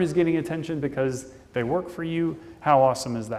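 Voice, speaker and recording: Audible room echo surrounds a man talking in a Midwestern accent. His pitch is fairly high, with ordinary variation, at a moderate pace. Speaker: conference speaker. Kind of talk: conference talk. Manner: casual.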